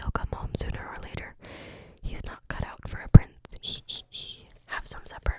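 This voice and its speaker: Over noticeable background noise, a woman speaks in a whisper at a moderate pace. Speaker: ASMR creator. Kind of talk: reading aloud. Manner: whispering.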